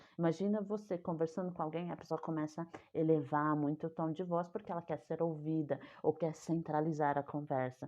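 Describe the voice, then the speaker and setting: Speaking at a fairly quick pace, a woman uses a very deep, low voice with fairly even intonation. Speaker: communication coach. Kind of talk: online talk on communication.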